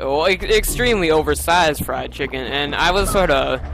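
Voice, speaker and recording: Noticeable noise runs in the background. Over it, a man talks. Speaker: video game let's player. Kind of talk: gameplay commentary, post-recorded. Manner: hesitant, many fillers.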